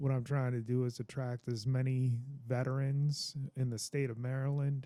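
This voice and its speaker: The voice has a dark, mellow tone and a monotone, flat intonation. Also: man. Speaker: veteran, religious teacher. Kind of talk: casual talk to camera. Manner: slow.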